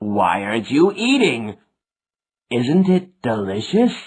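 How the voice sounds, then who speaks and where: A put-on character voice from a man, medium in pitch, with very wide pitch swings and a fairly slow pace. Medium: read story.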